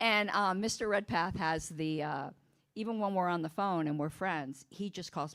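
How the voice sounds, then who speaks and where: The background is silent in this very clean recording. A woman talks at a fairly quick pace. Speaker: political party officer. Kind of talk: casual chat. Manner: animated, halting with repetitions.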